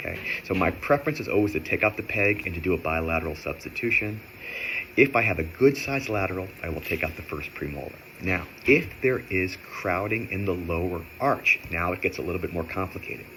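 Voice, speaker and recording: A man with a very deep, low pitch talks at a fairly quick pace with lively intonation, over noticeable background noise. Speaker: orthodontist. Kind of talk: educational tutorial. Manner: fast.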